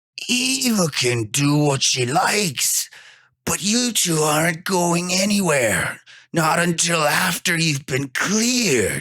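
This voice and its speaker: A put-on character voice with lively intonation and very even loudness unfolds at a fairly slow pace. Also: man, high pitch for a man. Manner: demonic, otherworldly.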